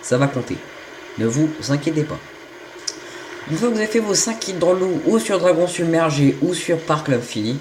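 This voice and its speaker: A man with a fairly high pitch speaks at a moderate pace, his pitch swinging very widely, with noticeable background noise. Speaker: gaming youtuber. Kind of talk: gameplay tutorial. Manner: hesitant, stumbling.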